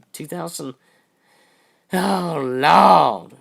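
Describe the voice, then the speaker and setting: Very slow speech with vocal fry carries lively intonation. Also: man. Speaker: livestream host. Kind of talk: casual chat.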